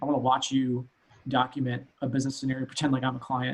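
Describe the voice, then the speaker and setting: A man's voice at a medium pitch. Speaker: CEO of a consulting company. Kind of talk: interview. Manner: fast.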